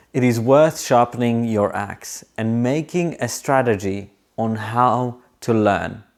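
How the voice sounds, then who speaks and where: A man with a non-native accent at a very slow pace, in a very clean recording with a silent background. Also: medium pitch for a man, ordinary pitch variation. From moved to Australia as a teenager. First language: not English. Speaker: aviation English tutor. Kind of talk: tutorial with storytelling.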